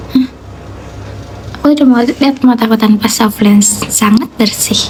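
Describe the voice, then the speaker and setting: The loudness stays very even and the intonation fairly even, with noticeable background noise behind the voice. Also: woman, fairly high pitch for a woman, moderate pace. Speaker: live streamer. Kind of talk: casual chat with live chat viewers.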